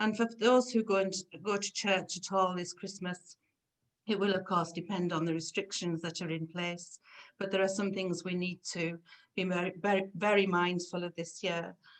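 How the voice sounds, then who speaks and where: A woman talks at a moderate pace with medium pitch and monotone, flat intonation. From northern England, Carlisle. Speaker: clergy. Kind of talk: presentation.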